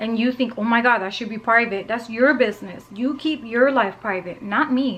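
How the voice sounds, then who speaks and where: Her pitch sits fairly high as a woman speaks at a moderate pace with hardly any pauses. Noticeable background noise is present. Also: ordinary pitch variation. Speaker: lifestyle vlogger. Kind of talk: casual vlog monologue. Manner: loud; animated, talkative.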